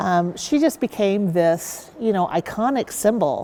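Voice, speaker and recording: With a Midwestern US accent, a woman at medium pitch talks at a fairly slow pace. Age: 60s. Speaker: university sports mascot performer. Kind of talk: interview.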